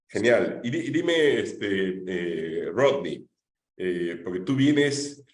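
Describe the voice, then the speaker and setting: Amid audible room echo, a man with a medium pitch and vocal fry swings his pitch very widely. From Peru, Lima. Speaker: congressman moderating a panel. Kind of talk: panel discussion.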